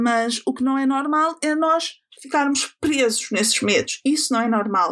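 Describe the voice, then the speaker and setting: At a fairly slow pace, a woman speaks in a high pitch with ordinary variation and very even loudness. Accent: European Portuguese. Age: 20s. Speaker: podcast host. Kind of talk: personal monologue.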